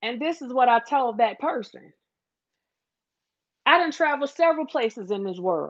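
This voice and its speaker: In a Southern US accent, a woman speaks with an animated tone, lively intonation and a high pitch. Long, frequent pauses break her speech against a quiet background. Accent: Southern drawl. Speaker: livestream host. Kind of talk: casual livestream chat.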